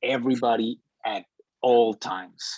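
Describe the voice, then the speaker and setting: With a non-native accent, a man speaks at medium pitch in a dry, close sound with no echo. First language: not English. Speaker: media studies student. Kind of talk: group discussion. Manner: halting, many repetitions.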